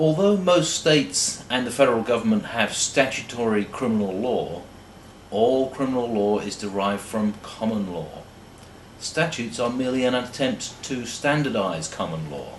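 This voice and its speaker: A man with a British accent speaks at a moderate pace and medium pitch, his intonation lively. Noticeable background noise and audible room echo fill the recording. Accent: sounds British, like an Oxford don. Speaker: law lecturer. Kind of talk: lecture. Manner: formal.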